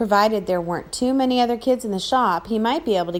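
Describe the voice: The pitch variation is ordinary. It is plain reading aloud.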